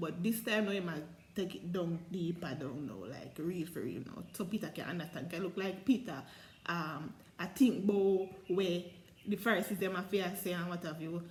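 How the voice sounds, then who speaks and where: The voice is somewhat breathy and has ordinary pitch variation. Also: woman, fairly low pitch for a woman, moderate pace. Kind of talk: Bible reading and commentary in dialect. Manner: casual, conversational.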